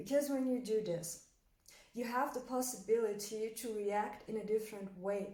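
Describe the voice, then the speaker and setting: A woman with a German accent speaks at a moderate pace in a fairly high pitch, with a dark, mellow tone, ordinary pitch variation, and audible room echo. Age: 20s. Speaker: motivational coach. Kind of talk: motivational talk. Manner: hesitant, many fillers.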